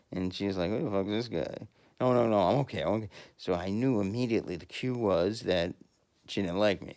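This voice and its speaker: A man's fairly low voice, with ordinary pitch variation, moves at a fairly quick pace. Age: 50s. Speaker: podcaster. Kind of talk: casual monologue. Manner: halting.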